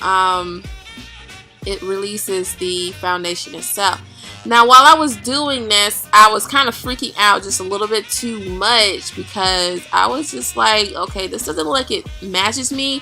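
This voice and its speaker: The pitch swings very widely and the loudness shifts a lot. Music plays in the background. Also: woman, medium pitch for a woman. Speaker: makeup vlogger. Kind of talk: makeup tutorial voice-over. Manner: casual, chatty.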